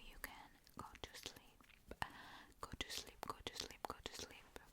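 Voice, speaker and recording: A whisper at a fairly slow pace, with noticeable background noise. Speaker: ASMR creator. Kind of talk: ASMR intro talk to camera. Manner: whispered.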